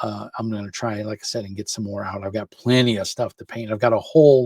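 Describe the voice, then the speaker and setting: Somewhat breathy and fairly low in pitch, a man speaks with fairly even intonation in a dry, close sound with no echo. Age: 50s. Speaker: miniature painting YouTuber. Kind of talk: casual vlog talk to camera. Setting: home office. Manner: halting, many fillers.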